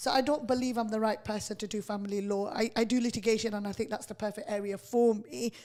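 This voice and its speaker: Here a woman talks at a fairly high pitch with a dark, mellow tone. Her pace is fairly quick and her pitch varies in an ordinary way. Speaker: radio host, litigation lawyer. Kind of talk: radio interview. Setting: radio studio. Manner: firm, sounds aggressive to others.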